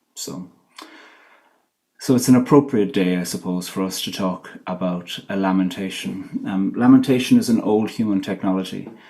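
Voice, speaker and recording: A man with a dark, mellow tone shows ordinary pitch variation and big swings in loudness amid audible room echo. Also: fairly low pitch for a man, moderate pace. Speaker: poet and theologian. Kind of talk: lecture. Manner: halting.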